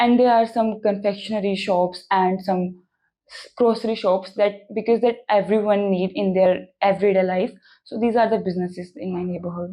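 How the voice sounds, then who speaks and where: With an Indian accent, the speaker uses a dark, mellow tone, fairly even intonation and big swings in loudness at a moderate pace. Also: woman, medium pitch for a woman. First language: Hindi. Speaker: language test candidate. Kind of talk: mock speaking exam interview. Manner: hesitant with fillers.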